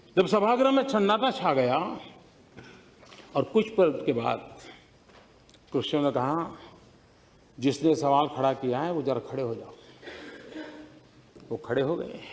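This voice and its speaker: Fairly high-pitched male speech with lively intonation and long, frequent pauses. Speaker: politician giving a parliamentary speech. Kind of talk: parliamentary speech with anecdote.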